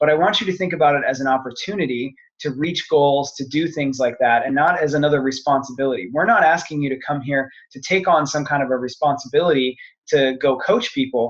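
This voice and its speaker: An ordinary speaking voice from a man, fairly high in pitch, with ordinary pitch variation at a fairly quick pace. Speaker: fitness business coach. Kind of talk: sales pitch webinar. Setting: online webinar call.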